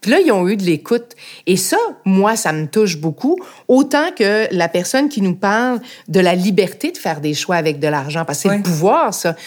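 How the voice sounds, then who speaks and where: A woman with a medium-pitched voice talks at a moderate pace, her pitch rising and falling very widely. The recording is very clean, with a silent background. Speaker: podcast host, former politician. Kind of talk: interview.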